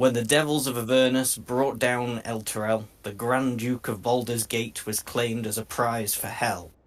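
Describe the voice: The clip is plain reading aloud. Nothing more is done with the text.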